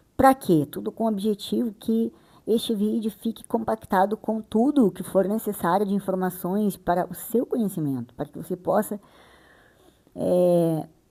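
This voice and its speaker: A woman at a moderate pace, medium in pitch, with ordinary pitch variation. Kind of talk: bible reading and explanation. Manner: sped up to 1.6x playback; casual, chatty.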